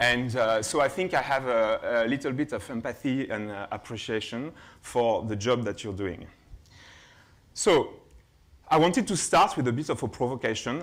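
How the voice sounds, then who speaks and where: A man's medium-pitched voice in a French accent, with ordinary pitch variation, on a very clean recording with a silent background. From France, Burgundy. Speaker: keynote speaker, innovation lab head. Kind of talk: keynote presentation. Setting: conference stage with audience. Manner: hesitant, many fillers.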